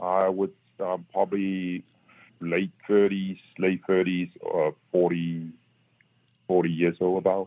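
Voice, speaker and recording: A very deep, low male voice in a flat monotone, very slow with long, frequent pauses. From Shanghai, China. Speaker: author, businessman. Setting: phone call.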